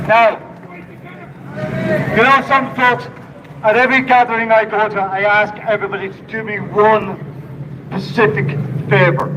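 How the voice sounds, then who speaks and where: A man with a Donegal accent speaks in a high pitch and a raised, projected voice, with lively intonation and big swings in loudness at a moderate pace. Long, frequent pauses, audible room echo and noticeable background noise fill the clip. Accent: Donegal Irish. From Ireland, Donegal. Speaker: protest speaker. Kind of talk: rally speech. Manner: impassioned.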